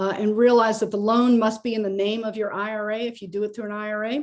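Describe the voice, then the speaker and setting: A woman speaks at a fairly quick pace with a fairly high pitch. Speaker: real estate investor and lender. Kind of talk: webinar presentation. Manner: fast.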